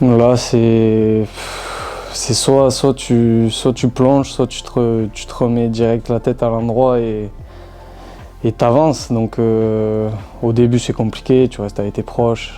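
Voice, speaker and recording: A man's medium-pitched, monotone voice with flat intonation, a very slow pace and long, frequent pauses over background music. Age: 20s. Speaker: professional footballer. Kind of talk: interview answer.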